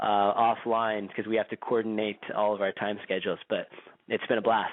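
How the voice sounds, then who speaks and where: With a Californian accent, a man speaks at a fairly low pitch in a monotone, flat intonation. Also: moderate pace. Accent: Californian, described as boring. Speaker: radio show host and activist. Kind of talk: radio interview.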